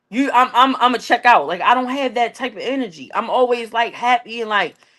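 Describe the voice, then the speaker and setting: A woman talks loudly at a fairly quick pace, her high-pitched voice bright and sharp. Her tone is animated, with ordinary pitch variation. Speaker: podcast co-host. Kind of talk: casual chat.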